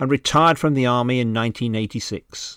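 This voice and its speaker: In a very clean recording with a silent background and a dry, close sound with no echo, a man speaks with a British accent. His medium-pitched voice moves at a very fast pace with fairly even intonation. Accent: British, educated. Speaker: museum director and podcast host. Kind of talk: scripted narration and reading aloud from a book. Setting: lockdown, recorded at home. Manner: formal, dry humour.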